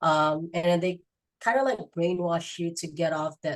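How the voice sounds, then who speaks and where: Her very deep, low pitch carries fairly even intonation as this woman speaks. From Philippines. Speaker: active-duty sailor and marketing business owner. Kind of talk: podcast interview. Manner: hesitant, many fillers.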